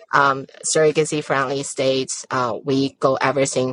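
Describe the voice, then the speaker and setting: A woman with a Chinese accent, very deep and low in pitch, at a moderate pace, in dry, close sound with no echo. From China. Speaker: surrogacy agency founder. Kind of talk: interview.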